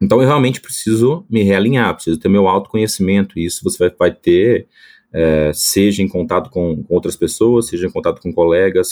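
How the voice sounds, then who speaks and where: A man's fairly low voice with ordinary pitch variation at a moderate pace, in a dry, close sound with no echo. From Brazil, Espírito Santo. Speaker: agronomist, product manager. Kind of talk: casual interview.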